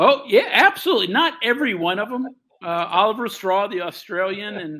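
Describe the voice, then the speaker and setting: A man speaks with an American accent. His voice is raised and projected. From West Virginia (Morgantown). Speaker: sports radio analyst. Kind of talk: casual interview.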